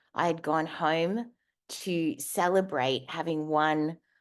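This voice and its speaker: Against a quiet background, a woman with an Australian accent speaks at a fairly low pitch with ordinary variation. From Australia, Darwin. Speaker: keynote speaker, advertising professional. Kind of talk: motivational talk.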